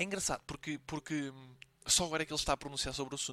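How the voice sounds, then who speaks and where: A man speaks at a very fast pace in a bright, sharp tone, fairly high in pitch with ordinary pitch variation. The sound is dry and close, with no echo. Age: 20s. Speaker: podcast host, student. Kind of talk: casual solo commentary. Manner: hesitant, many fillers.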